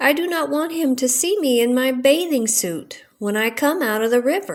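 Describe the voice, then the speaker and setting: This is a put-on character voice that sounds female, with a high pitch. It moves at a moderate pace. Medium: read story.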